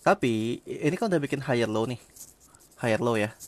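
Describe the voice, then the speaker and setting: A man speaks very fast at a medium pitch. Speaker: crypto trading streamer. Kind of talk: live stream technical chart analysis. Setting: live stream. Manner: casual, with hesitations and restarts.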